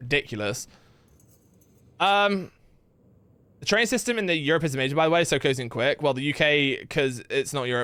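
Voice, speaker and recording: In a very clean recording with a silent background, a man speaks animatedly at a fairly quick pace and fairly high pitch, with a bright, sharp tone. His intonation is lively, broken by long, frequent pauses. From England. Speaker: gaming streamer. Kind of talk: casual chat. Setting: live stream.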